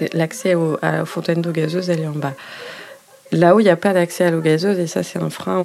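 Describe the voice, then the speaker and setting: Against noticeable background noise, a woman talks at a fairly quick pace in a fairly low voice with fairly even intonation. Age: 30s. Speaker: nurse. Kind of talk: interview testimony. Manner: hesitant, with fillers.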